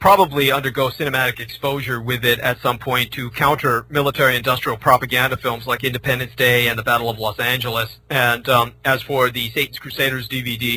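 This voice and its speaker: In an American accent, a man at a medium pitch talks at a fairly quick pace with hardly any pauses and monotone, flat intonation, over noticeable background noise. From San Francisco, US West Coast. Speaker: former military librarian, author. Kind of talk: radio interview. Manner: fast; halting, many fillers.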